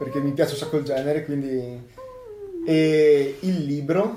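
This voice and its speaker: Against music in the background and audible room echo, a man speaks at a fairly high pitch with ordinary pitch variation. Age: 20s. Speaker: university student and hobby woodcarver. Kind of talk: casual interview.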